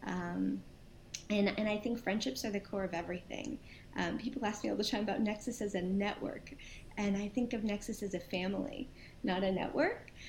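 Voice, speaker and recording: Speaking fairly quickly in an American accent, a woman has a medium pitch and vocal fry. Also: ordinary pitch variation. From New York and New Jersey, US. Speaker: nonprofit founder and CEO. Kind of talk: interview.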